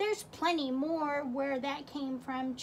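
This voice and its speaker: Over clear background noise, a woman puts on a character voice. It is high-pitched and fairly slow. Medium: read story.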